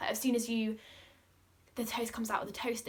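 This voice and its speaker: A woman with a fairly high pitch speaks in an animated tone, her voice somewhat breathy. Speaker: lifestyle vlogger. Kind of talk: casual chat. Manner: fast.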